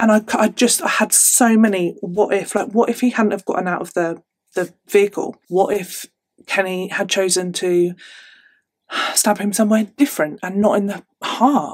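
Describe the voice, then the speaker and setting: A woman with an animated tone at a moderate pace, ordinary pitch variation, and a quiet background. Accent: English. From England. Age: 30s. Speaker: true crime youtuber. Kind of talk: storytelling monologue to camera. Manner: chatty, animated. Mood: somber, reflective at times. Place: home room.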